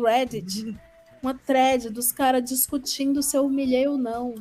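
A woman with a high pitch, ordinary pitch variation and a moderate pace. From Brazil, Ceará. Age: 30s. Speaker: podcaster and content creator. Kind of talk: casual chat. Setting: live stream.

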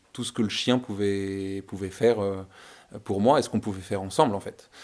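A plain, everyday voice from a man at a fairly quick pace, with fairly even intonation, on a very clean recording with a silent background. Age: 20s. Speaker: visually impaired guide dog owner. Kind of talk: testimony.

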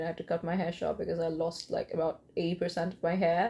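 A woman with an Indian accent talks at a very fast pace in a fairly low pitch. Her delivery is monotone and flat, and somewhat breathy. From eastern India. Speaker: first-time podcaster. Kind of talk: solo monologue rant. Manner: hesitant, many fillers.

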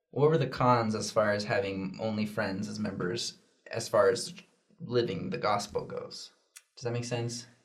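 A man with an American accent talks at a moderate pace and medium pitch. His voice is somewhat breathy, with ordinary pitch variation. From Oregon, Junction City. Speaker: youth church video host. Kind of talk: casual chat.

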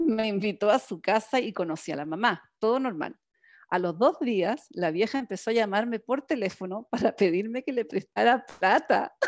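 A normal speaking voice with lively intonation moves at a moderate pace in a very clean recording with a silent background. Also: woman, fairly high pitch for a woman. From Chile. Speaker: podcast co-host. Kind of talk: casual chat.

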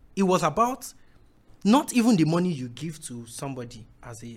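Lively intonation runs through a somewhat breathy voice at a moderate pace. The recording is very clean, with a silent background. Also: man. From Nigeria, Ondo State. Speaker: musician. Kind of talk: casual chat.

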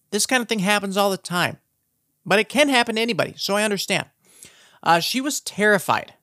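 The speaker talks at a very fast pace in an Upper Midwest accent. The tone is animated. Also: very clean recording, silent background. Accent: Upper Midwest American. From South Dakota. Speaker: true crime podcast host. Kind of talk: casual true crime narration.

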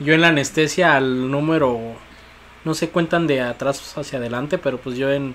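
Noticeable background noise accompanies a man who talks at a moderate pace in a fairly high pitch with fairly even intonation. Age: 30s. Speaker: podcast host. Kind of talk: casual chat.

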